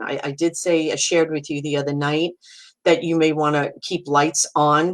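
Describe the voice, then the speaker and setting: Here a woman speaks at a moderate pace. Her pitch is very deep and low. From US Northeast, Brooklyn, New York. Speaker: psychic medium. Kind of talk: live-stream talk answering viewer comments. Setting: live video stream. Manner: casual, halting with fillers.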